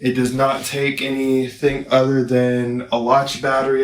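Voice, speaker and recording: A man with a fairly high pitch speaks at a fairly slow pace, with audible room echo and noticeable background noise. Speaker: product reviewer, visually impaired. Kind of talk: casual product review. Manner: loud, projecting voice.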